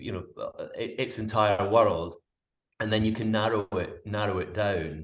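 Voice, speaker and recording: Fairly low in pitch, this man has a Scottish accent. He keeps a moderate pace and fairly even intonation. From Scotland. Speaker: wildlife cameraman and presenter. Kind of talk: interview answer.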